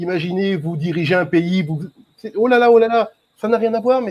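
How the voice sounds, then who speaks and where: This man talks at a moderate pace in a high pitch. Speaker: YouTube channel creator, debate participant; guest, channel host. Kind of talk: online group debate. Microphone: microphone problem; video call.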